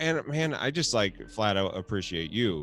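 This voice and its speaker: A man mumbles his words at a moderate pace. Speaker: podcast host and twitch streamer. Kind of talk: casual chat. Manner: mumbles a lot; animated.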